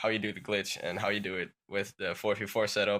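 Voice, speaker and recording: A man with a Dutch accent speaks in a bright, sharp tone. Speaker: gaming YouTuber. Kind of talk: tutorial. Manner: halting.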